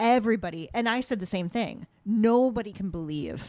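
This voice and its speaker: A woman's dark, mellow tone. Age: 40s. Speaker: podcast host. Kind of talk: casual chat. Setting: home dining room. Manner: halting, many fillers and restarts.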